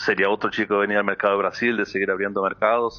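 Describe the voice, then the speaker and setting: Fairly low-pitched man's voice with monotone, flat intonation. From Brazil (born in Uruguay). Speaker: football player agent. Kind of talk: interview on sports talk show. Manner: hesitant, many repetitions.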